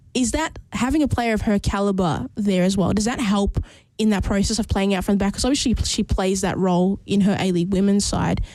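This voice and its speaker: With an Australian accent, a woman speaks very fast in a dark, mellow tone, with ordinary pitch variation and very even loudness. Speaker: football radio host. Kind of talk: casual chat.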